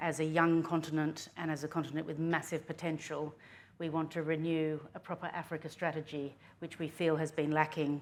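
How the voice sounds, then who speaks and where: The recording is very clean with a silent background. A woman speaks at a moderate pace in a very deep, low pitch, with monotone, flat intonation and a slight Australian accent. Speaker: politician. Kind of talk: panel talk.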